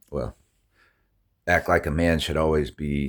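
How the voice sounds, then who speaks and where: At a moderate pace, a man talks in a very deep, low voice with vocal fry and fairly even intonation. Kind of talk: casual monologue. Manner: halting, many restarts and fillers.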